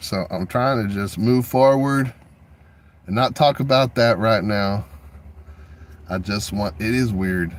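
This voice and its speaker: A man's medium-pitched voice with a Texan accent and lively intonation, in a very clean recording with a silent background. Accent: Texan American. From Texas. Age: 40s. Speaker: video artist and livestreamer. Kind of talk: casual livestream monologue.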